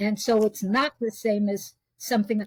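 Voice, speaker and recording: A New York accent, somewhat breathy, at a fairly slow pace. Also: woman, dry, close sound with no echo. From US Northeast (New York). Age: 80s+. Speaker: spiritual teacher and intuitive reader. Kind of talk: interview conversation.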